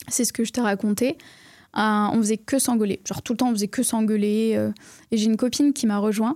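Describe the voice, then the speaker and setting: Recorded very cleanly against a silent background, dry and close with no echo, a woman with a dark, mellow tone speaks at a fairly quick pace and a fairly high pitch with fairly even intonation. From southwest France, near Bordeaux. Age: 20s. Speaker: entrepreneur, online trainer. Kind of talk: casual interview. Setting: studio.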